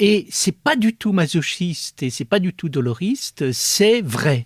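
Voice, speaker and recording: At a very slow pace, a man speaks high with very wide pitch swings, the sound dry and close with no echo. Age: 70s. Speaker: philosopher. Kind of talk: interview. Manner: hesitant, many fillers.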